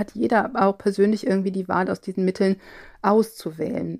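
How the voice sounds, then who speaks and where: On a very clean recording with a silent background, a woman at medium pitch uses a normal speaking voice with ordinary pitch variation in a dry, close sound with no echo. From Cologne area, Germany. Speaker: linguistics professor. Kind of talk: interview.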